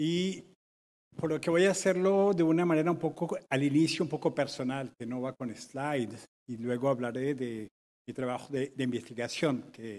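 Here a man talks at a moderate pace, his pitch varying in an ordinary way. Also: fairly high pitch for a man. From Colombia. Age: 60s. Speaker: urban researcher, conference speaker; conference speaker. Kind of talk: conference talk. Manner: halting. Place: hall.

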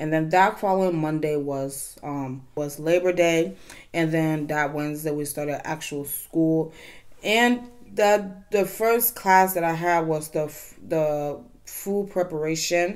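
Ordinary pitch variation at a fairly slow pace over a quiet background. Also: woman, very deep, low pitch for a woman. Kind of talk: casual vlog chat. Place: home room.

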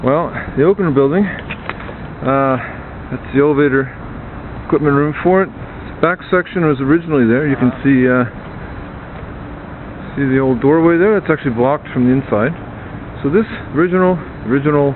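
Against noticeable background noise, a man speaks at a fairly quick pace with ordinary pitch variation and a dry sound with no echo. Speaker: building guide. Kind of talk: informal tour explanation. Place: street. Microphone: phone near.

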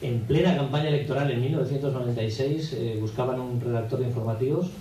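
A man speaks at a very fast pace with fairly even intonation and very even loudness. Audible room echo and light background noise surround him. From Aragon, Spain. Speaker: radio announcer and impressionist. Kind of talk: radio interview answer. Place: hall.

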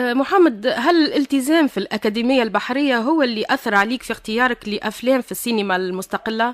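Woman at high pitch with lively intonation, a fairly quick pace and hardly any pauses, in dry sound with no echo over a quiet background. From Tunisia. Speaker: radio host. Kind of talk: radio interview. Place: studio.

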